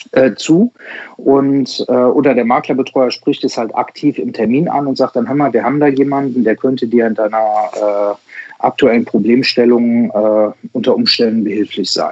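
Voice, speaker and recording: Speaking at a moderate pace, the man has a medium-pitched voice. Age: 40s. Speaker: insurance broker and digital sales coach. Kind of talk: interview. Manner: hesitant, many filler sounds.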